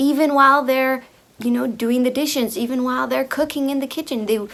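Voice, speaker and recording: A woman's pitch varies in an ordinary way as noticeable noise sounds behind her. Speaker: video creator on femininity. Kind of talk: monologue to camera. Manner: hesitant, repeating words.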